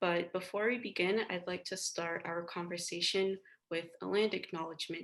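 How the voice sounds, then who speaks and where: With fairly even intonation, the clip features an ordinary speaking voice. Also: woman, fairly low pitch for a woman, moderate pace. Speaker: interviewer. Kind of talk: interview questions.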